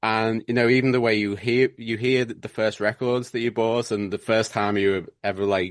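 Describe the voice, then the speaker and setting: A man's medium-pitched, monotone, flat delivery with hardly any pauses, over a quiet background. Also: moderate pace. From northern England, Liverpool then Warrington area. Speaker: band drummer. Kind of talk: casual interview. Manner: halting.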